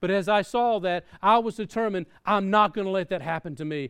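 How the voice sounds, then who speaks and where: Against a quiet background, a man with a Southern US accent talks with ordinary pitch variation. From US South. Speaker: pastor. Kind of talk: sermon. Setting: church.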